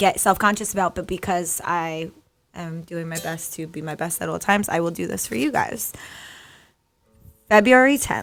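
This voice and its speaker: Music plays in the background as a woman talks in a fairly low pitch. Her loudness swings a lot, and she leaves long, frequent pauses. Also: lively intonation, moderate pace. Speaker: podcast host. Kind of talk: casual chat.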